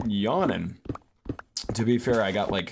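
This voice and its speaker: In a relaxed tone, a man talks at a fairly slow pace against noticeable background noise. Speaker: gaming streamer. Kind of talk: casual gameplay commentary. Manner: relaxed, low-pitched; hesitant, many fillers.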